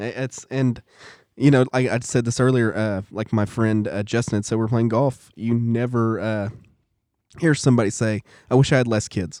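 Recorded very cleanly against a silent background, a man uses a normal speaking voice with medium pitch, fairly even intonation and a moderate pace. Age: 40s. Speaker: church class teacher, guest. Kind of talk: casual chat.

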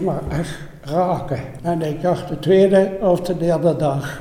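Very slowly and with fairly even intonation, a man speaks at a high pitch amid noticeable background noise and audible room echo. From Netherlands, Elst (Betuwe, Gelderland). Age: 80s+. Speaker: war eyewitness. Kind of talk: testimony.

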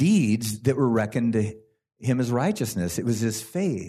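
A man with an unremarkable speaking voice speaks at a medium pitch with lively intonation and an American accent. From California. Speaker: worship leader. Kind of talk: testimony. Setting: church.

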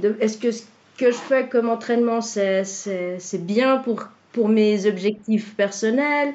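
The pace is very slow as this woman talks. Her voice rests fairly high. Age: 40s. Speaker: client, stay-at-home mother and former nurse. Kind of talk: testimony. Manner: halting, many hesitations and repetitions.

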